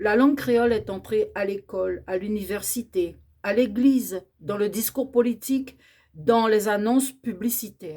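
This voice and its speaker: The voice has a dark, mellow tone, somewhat breathy, moving at a fairly slow pace with ordinary pitch variation. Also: woman, fairly high pitch for a woman. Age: 60s. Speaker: educator on Creole language. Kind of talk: educational talk.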